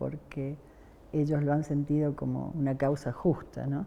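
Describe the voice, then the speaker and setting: Very slow speech from a woman with a very deep, low pitch. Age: 70s. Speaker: human rights activist. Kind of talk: oral history interview. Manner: hesitant, many fillers.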